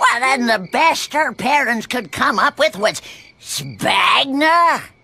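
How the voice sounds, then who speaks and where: A woman's high-pitched, cartoonish character voice, fairly slow, with lively intonation. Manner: sardonic, theatrical.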